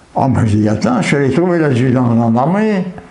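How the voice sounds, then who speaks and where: Lively intonation from a man at a medium pitch, over noticeable background noise. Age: 80s+. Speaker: war veteran. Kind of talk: interview answer.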